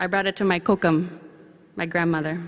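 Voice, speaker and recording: A woman at a very fast pace. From central Canada, Anishinaabe First Nation community. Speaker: young professionals committee representative speaking at conference. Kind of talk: ceremonial speech. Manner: formal.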